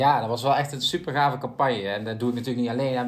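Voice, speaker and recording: A man speaks with fairly even intonation over audible room echo. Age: 20s. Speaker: politician and podcast host. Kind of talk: interview (as guest).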